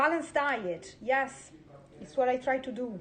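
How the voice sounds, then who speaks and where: A woman with an Italian accent and a high pitch talks at a fairly slow pace. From Italy. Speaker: home cook. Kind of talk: live-streamed cooking chat. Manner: halting.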